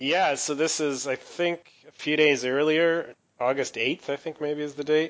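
Fairly high-pitched and fairly slow, a man speaks in a normal speaking voice with fairly even intonation. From Canada. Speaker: podcast co-host. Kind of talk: casual banter and wrestling recap, podcast discussion. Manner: conversational, jokey, self-deprecating.

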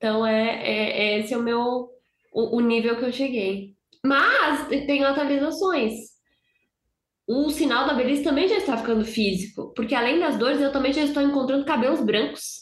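In a Brazilian accent, a woman speaks at a moderate pace in a high pitch. Her loudness stays very even. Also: ordinary pitch variation. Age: 20s. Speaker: hockey podcaster. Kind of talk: casual chat.

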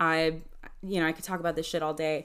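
The recording is very clean with a silent background, and a woman's voice sits fairly low in pitch. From Mexican-American background. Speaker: therapist and podcast host. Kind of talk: solo educational podcast talk. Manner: casual, filler-heavy (um, like).

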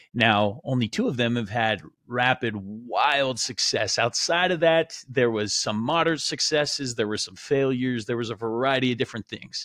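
With an American accent and a plain, everyday voice, a man of medium pitch talks at a moderate pace with ordinary pitch variation and hardly any pauses, on a very clean recording with a silent background. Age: 30s. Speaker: podcast host and entrepreneur. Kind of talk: personal storytelling monologue. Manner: casual, filler-heavy.

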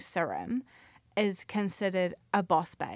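Speaking at a fairly slow pace with a New Zealand accent, a woman is heard on a very clean recording with a silent background. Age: 20s. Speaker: podcast host. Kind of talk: casual monologue.

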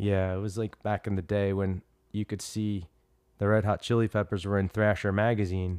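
With an American accent, the speaker talks at a moderate pace in a monotone, flat intonation, the sound dry and close with no echo and the background quiet. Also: man, fairly low pitch for a man. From Trenton, New Jersey. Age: 40s. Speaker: martial arts teacher. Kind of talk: casual chat. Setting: at home.

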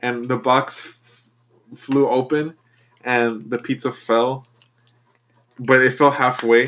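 The speaker is a man with a medium pitch. His intonation is monotone and flat. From Mexico. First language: Spanish. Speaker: podcast co-host. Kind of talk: casual chat.

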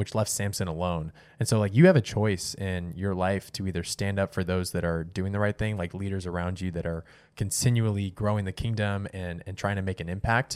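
Delivered in an ordinary speaking voice at a fairly quick pace, the speech has ordinary pitch variation on a very clean recording with a silent background. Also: man. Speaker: podcast host. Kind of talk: casual chat. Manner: joking, teasing.

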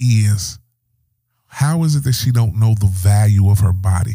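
Speaking at a fairly slow pace, a man with a fairly low pitch has a somewhat breathy voice, a dark, mellow tone and ordinary pitch variation. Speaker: podcast host. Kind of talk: casual chat.

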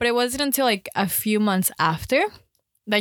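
A woman talks fairly quickly in a fairly high pitch with ordinary pitch variation and an unremarkable speaking voice. The recording is very clean, with a silent background. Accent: American. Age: 20s. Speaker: podcast co-host. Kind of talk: casual chat.

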